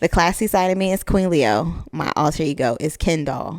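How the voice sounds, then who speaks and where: This woman has a very deep, low pitch and vocal fry, with an American accent. Her intonation is lively. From US, Miami, Florida. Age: 20s. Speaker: podcast host. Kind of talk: casual monologue. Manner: casual, filler-heavy.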